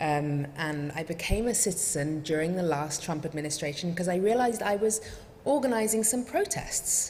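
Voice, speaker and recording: Amid noticeable background noise and audible room echo, a woman with a fairly low voice speaks fairly quickly with ordinary pitch variation. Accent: English. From England. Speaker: refugee advocacy director. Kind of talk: talk to congregation.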